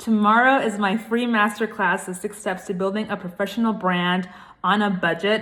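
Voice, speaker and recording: With a Puerto Rican accent, a woman sounds animated, her tone bright and sharp. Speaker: brand consultant. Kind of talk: casual vlog talk to camera.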